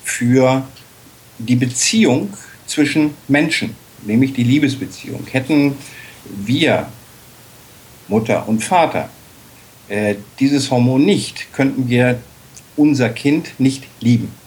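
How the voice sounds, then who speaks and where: Long pauses come often from a male speaker. His delivery is very slow. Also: very even loudness. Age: 50s. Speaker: dog-at-work association chair. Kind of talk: interview. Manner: hesitant fillers.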